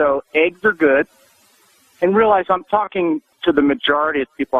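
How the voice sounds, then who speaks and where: In a normal speaking voice, a man with fairly high pitch uses lively intonation at a fairly slow pace. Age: 60s. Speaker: physician and author. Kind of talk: radio interview.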